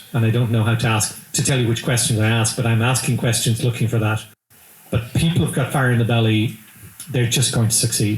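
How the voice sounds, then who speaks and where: A man with an Irish accent talks at a fairly quick pace, somewhat breathy. His loudness is very even and his intonation fairly even. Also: medium pitch for a man. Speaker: business executive. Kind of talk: interview. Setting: live event.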